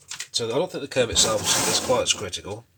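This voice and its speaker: A man's voice over noticeable background noise. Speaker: model railway hobbyist vlogger. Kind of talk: casual build tutorial. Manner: casual, thinking aloud with fillers.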